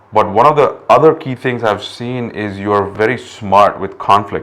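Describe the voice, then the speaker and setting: A man is speaking at a moderate pace. His voice sits at a medium pitch. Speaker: podcast host. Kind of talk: casual chat. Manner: halting.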